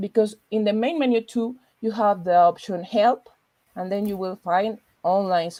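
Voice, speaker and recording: A woman with a Spanish accent speaks at a moderate pace with ordinary pitch variation, her tone dark and mellow in a dry, close sound with no echo. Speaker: librarian. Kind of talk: tutorial; interview. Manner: halting.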